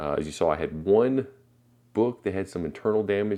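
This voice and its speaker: Against a quiet background, a man with a very deep, low pitch and a dark, mellow tone talks at a very fast pace with ordinary pitch variation. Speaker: comic book collector YouTuber. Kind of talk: casual unboxing video. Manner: casual with fillers.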